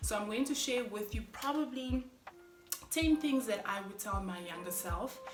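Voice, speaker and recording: Over music in the background, a woman with a fairly high pitch speaks at a moderate pace in an animated tone with lively intonation. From Namibia. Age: 30s. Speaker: vlogger. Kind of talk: casual vlog monologue. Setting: at home, kids sleeping. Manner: loud.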